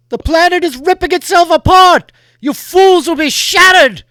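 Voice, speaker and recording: This is a man doing a put-on character voice. His pitch is extremely high and his pace moderate. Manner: threatening, commanding.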